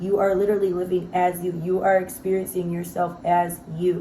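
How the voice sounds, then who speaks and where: A woman at a fairly slow pace, her pitch medium, with audible room echo. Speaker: self-help vlogger. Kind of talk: casual motivational monologue. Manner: free-flowing, filler-heavy.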